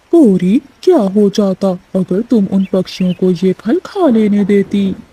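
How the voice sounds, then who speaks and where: In a cartoonish character voice, a female-sounding speaker talks at a middle pitch and a moderate pace. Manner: tired, reasonable.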